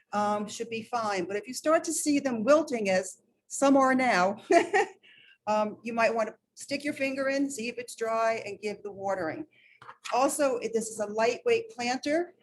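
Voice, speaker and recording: With a New York accent, a woman talks at a moderate pace in a fairly high voice with ordinary pitch variation. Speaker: master gardener volunteer. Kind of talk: hands-on demonstration.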